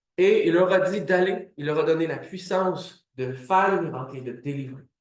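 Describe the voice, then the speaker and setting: The man's delivery moves at a moderate pace with fairly even intonation. Audible room echo surrounds the voice. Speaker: preacher. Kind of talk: sermon.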